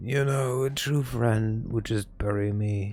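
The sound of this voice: Putting on a character voice, a man speaks raspily at a medium pitch, fairly slowly and with fairly even intonation.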